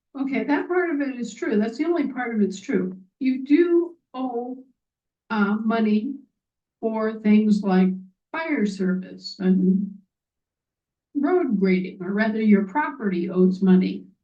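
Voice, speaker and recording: There is audible room echo as the speaker, somewhat breathy, talks at a fairly slow pace with lively intonation and long, frequent pauses. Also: woman, fairly high pitch for a woman. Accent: American. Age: 60s. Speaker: activist speaker. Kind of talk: monologue. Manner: animated.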